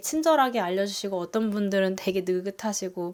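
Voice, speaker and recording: On a very clean recording with a silent background, a woman speaks in an ordinary speaking voice at a medium pitch, with ordinary pitch variation and a moderate pace. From South Korea. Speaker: nurse and family vlogger. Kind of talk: casual vlog talk.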